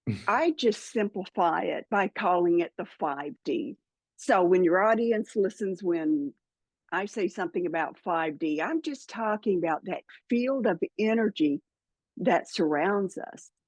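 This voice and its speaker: Recorded dry and close with no echo, a woman with a Southern US accent speaks at a fairly slow pace in a medium pitch with lively intonation. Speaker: spiritual podcaster and author. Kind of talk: interview.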